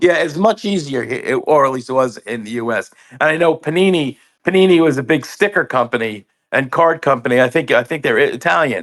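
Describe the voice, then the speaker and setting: Lively intonation and a fairly quick pace mark this New York accent, heard in a very clean recording with a silent background. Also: man, fairly high pitch for a man. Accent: New York American. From US, New York. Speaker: comic book store owner. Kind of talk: casual interview.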